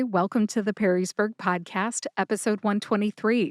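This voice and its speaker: Fairly high in pitch, a woman speaks in a plain, everyday voice, the sound dry and close with no echo on a very clean recording against a silent background. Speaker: podcast host. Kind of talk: podcast intro.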